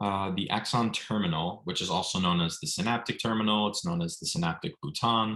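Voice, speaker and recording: A man speaks fairly quickly in a very deep, low voice with fairly even intonation. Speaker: MCAT tutor. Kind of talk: online lecture. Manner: fast.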